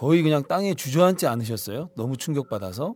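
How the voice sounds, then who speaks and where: A man uses an ordinary speaking voice at a fairly high pitch. His intonation is lively. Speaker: podcast host. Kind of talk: casual chat. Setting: studio.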